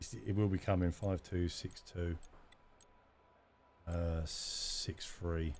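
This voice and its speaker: With a London accent, a man speaks very slowly at a very deep, low pitch, his voice somewhat breathy. Long, frequent pauses break up his speech, and his pitch varies in an ordinary way. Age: 30s. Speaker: gaming streamer. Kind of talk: live gameplay commentary.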